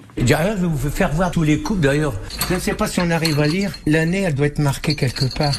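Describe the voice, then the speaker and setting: A man talks at a fairly quick pace with ordinary pitch variation and very even loudness. There is noticeable background noise. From northern France, Picardy. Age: 80s+. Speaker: veteran table tennis player. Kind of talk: interview. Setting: at home, former farm.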